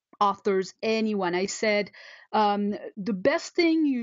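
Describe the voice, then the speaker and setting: A woman talks at a mid-level pitch and a middling speed. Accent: French. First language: French. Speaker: photographer and entrepreneur, blogger. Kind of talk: interview. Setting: video call. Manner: halting, many fillers and repeats.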